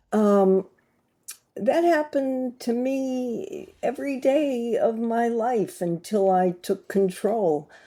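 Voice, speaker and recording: A woman with an American accent, dark and mellow in tone, at a very slow pace with very wide pitch swings, on a very clean recording with a silent background. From USA. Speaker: glass artist and creativity coach. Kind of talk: casual talk to camera. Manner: halting, many fillers.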